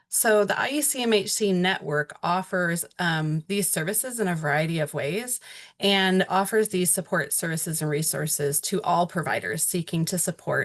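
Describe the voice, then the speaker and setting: A woman with a normal speaking voice and fairly low pitch talks at a moderate pace with ordinary pitch variation and hardly any pauses. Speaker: webinar presenter on early childhood. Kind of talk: webinar presentation. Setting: online webinar.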